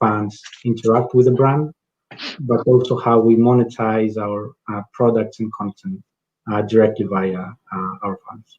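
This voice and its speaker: Speaking with a Greek accent, a man uses a medium pitch and fairly even intonation. His pace is fairly slow. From Greece. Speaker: sports league executive. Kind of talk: panel discussion.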